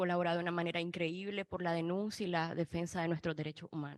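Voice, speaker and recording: A woman's fairly low voice, fairly quick and monotone, with a dry, close sound and no echo. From Nicaragua. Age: 20s. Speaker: student activist and former political prisoner. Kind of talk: panel testimony. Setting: panel event in Washington.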